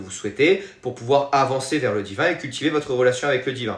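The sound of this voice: In a Marseille accent, a man talks at a medium pitch with a fairly bright tone. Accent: southern French, Marseille.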